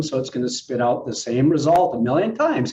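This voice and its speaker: A man is talking here. There is a somewhat breathy quality to his voice. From Saskatchewan, Canada (Moose Jaw). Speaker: health tech company representative. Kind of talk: casual chat.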